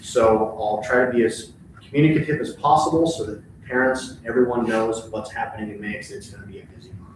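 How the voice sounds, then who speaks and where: Very fast speech from a man at a medium pitch, with ordinary pitch variation, big swings in loudness, noticeable background noise and audible room echo. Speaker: elementary school principal. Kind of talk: board meeting report. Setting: school board meeting.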